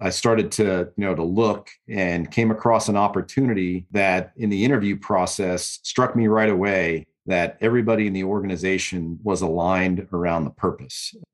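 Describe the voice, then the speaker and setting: A man with an American accent speaks in an ordinary speaking voice, fairly low in pitch, at a moderate pace with fairly even intonation and hardly any pauses, against a quiet background. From New York. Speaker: retired military lawyer. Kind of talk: interview.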